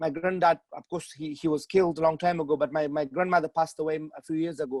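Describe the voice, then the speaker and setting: The speaker has a Pashto accent and monotone, flat intonation. The sound is dry and close, with no echo. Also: man. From Afghanistan. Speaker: author. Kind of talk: interview. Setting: video call. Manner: halting, many repetitions.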